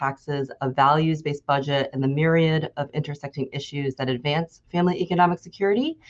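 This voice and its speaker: A woman's voice at a fairly quick pace, with ordinary pitch variation. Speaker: policy advocate. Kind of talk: presentation with slides. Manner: fast.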